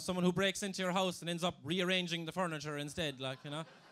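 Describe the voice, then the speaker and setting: A man's high voice at a very fast pace with ordinary pitch variation. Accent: Kerry Irish. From Ireland, southwest County Kerry. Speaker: comedian. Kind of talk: stand-up. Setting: stage with audience.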